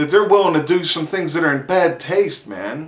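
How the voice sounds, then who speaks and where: An animated man's high voice in a Pittsburgh accent at a moderate pace, with noticeable background noise. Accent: Pittsburgh accent, stronger when excited. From Pittsburgh, US. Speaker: vlogger. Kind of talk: casual vlog monologue.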